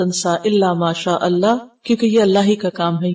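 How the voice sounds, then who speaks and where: Fairly even intonation from a woman, dark and mellow in tone. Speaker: Islamic scholar, Quran teacher. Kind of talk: religious lecture, Quran tafsir class. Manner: clear articulation.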